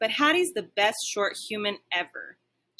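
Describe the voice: Plain reading aloud with lively intonation against a quiet background.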